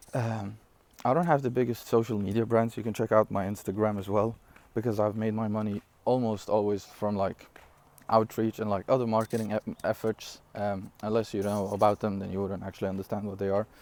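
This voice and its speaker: Dry and close with no echo, a man's fairly low voice moves at a fairly quick pace in a non-native accent. His intonation is monotone and flat. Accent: non-native English, noticeable. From Syria. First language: not English (English is third language). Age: 20s. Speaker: online entrepreneur. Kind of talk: casual vlog talk. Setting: outdoors. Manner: casual, with fillers and self-corrections.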